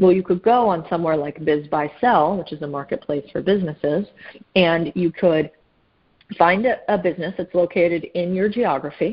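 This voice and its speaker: With a plain, everyday voice, a woman speaks at a moderate pace, fairly low in pitch and with ordinary pitch variation. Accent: American. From US Southwest, Phoenix, Arizona. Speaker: private equity investor. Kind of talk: casual interview.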